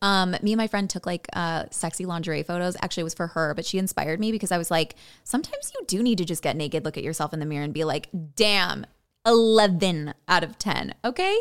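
Talking at a very fast pace with ordinary pitch variation, a woman speaks with an American accent. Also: fairly low pitch for a woman, very clean recording, silent background. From Illinois, Chicago suburbs. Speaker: actor and blogger. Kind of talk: casual chat.

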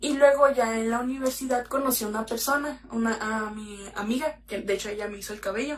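Over noticeable background noise, a woman talks at a fairly quick pace with hardly any pauses and fairly even intonation. Her pitch is fairly high, and her loudness swings widely. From Mexico, Mexicali (Baja California). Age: 20s. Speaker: makeup content creator. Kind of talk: casual interview chat.

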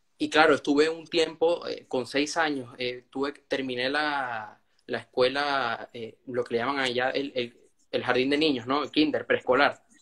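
At a fairly slow pace, a man talks with fairly high pitch and fairly even intonation. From Venezuela. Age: young. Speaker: young author. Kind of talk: interview.

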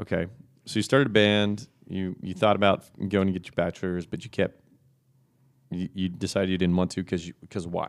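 In an American accent, a man talks at a fairly quick pace. His pitch is very deep and low, with fairly even intonation. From Texas. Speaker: podcast host, real estate professional. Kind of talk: casual chat. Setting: office.

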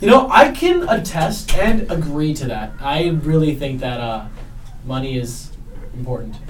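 Over noticeable background noise, a man speaks at a fairly slow pace with big swings in loudness. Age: young. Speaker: college student podcaster. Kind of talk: casual chat. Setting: dorm floor at night.

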